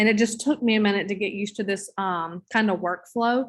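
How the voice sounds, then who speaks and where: Against a quiet background, a woman with a Southern US accent speaks with fairly even intonation. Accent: Southern drawl. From US South. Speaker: teacher trainer. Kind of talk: online training session. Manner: casual. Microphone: video call.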